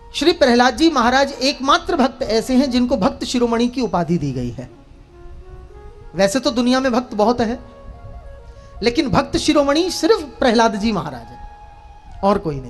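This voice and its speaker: Against music in the background, a man speaks at an extremely high pitch with lively intonation and big swings in loudness. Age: young. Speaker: religious storyteller. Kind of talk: religious discourse.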